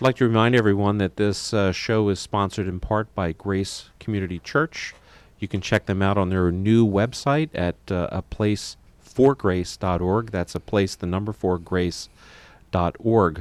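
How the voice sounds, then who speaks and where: A man with an ordinary speaking voice, fairly low pitch and ordinary pitch variation at a moderate pace, in a dry, close sound with no echo. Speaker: radio host and physician. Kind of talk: radio talk show discussion.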